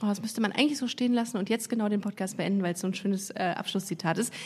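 A woman speaks in an animated tone that is somewhat breathy. Her pitch shows ordinary variation. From Germany, Düsseldorf. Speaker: podcast host, comedian. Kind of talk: casual interview. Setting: studio.

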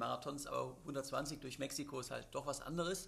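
A man speaks with a fairly high pitch. His voice carries vocal fry. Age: 30s. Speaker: extreme athlete. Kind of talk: interview. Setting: studio. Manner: many filler sounds.

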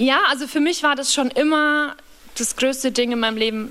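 A woman talks over noticeable background noise. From Bavaria, Upper Palatinate (small village). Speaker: singer-songwriter. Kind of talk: casual chat.

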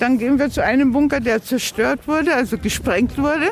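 There is noticeable background noise behind this woman's high voice. She talks at a moderate pace. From Bavaria, Waldkraiburg. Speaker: volunteer language mentor and city tour guide. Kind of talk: guided city tour. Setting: outdoors.

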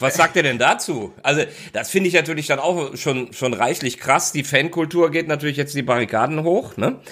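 A man speaks with a fairly high pitch and a bright, sharp tone. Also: ordinary pitch variation, moderate pace. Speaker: football commentator. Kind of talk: casual chat.

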